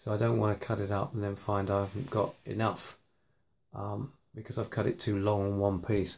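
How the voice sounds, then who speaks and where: With a British accent, a somewhat breathy man speaks at a moderate pace with fairly even intonation. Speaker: hobbyist maker. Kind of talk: workshop tutorial. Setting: home workshop at night. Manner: hesitant, many fillers.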